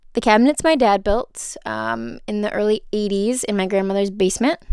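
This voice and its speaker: The speaker has a nervous tone and a Minnesotan accent. The pace is moderate. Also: woman. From Minnesota, USA. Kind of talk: casual home tour to camera. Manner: chatty, nervous, filler-heavy.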